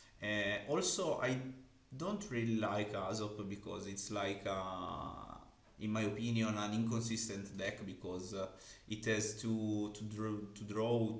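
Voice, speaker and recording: In an Italian accent, the speaker goes at a fairly slow pace with monotone, flat intonation, amid audible room echo and noticeable background noise. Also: man. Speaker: card game content creator. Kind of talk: interview. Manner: halting.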